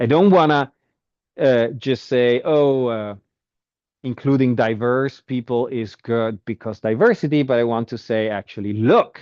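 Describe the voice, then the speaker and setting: A man talks in a normal speaking voice at medium pitch and a fairly slow pace, with ordinary pitch variation. The sound is dry and close with no echo, and the background is quiet. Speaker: university lecturer. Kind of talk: lecture.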